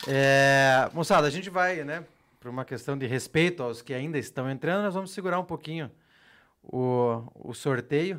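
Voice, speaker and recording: At a moderate pace, a man speaks in an unremarkable speaking voice that sits fairly high and has ordinary pitch variation. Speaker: podcast host. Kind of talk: casual podcast chat with giveaway announcements. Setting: studio.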